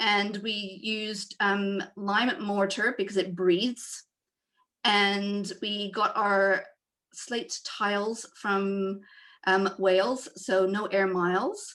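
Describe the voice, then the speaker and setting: A woman with a Canadian accent speaks at a very slow pace, her medium pitch held in fairly even intonation. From Canada. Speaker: homeowner presenting eco renovation. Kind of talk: presentation. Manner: hesitant, many fillers.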